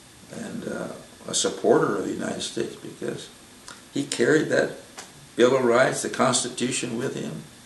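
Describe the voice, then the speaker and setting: Audible room echo and noticeable background noise surround a man talking at a moderate pace. His pitch is medium with ordinary variation. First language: Spanish. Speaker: military veteran recounting family history. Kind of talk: oral history interview. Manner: halting, with frequent fillers and repeats.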